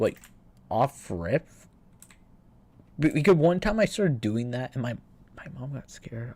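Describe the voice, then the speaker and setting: A man with a dark, mellow tone speaks at a medium pitch and a moderate pace, somewhat breathy, with lively intonation and big swings in loudness. The recording is very clean, with a silent background. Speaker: gaming streamer. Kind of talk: casual livestream chat. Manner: halting, repeats words.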